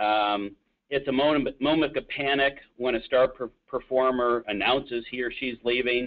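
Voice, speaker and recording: In an American accent, a man speaks at a medium pitch. His pace is moderate and his intonation fairly even. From upstate New York, Buffalo area. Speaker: recruiting executive. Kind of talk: webinar presentation. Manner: halting, many fillers.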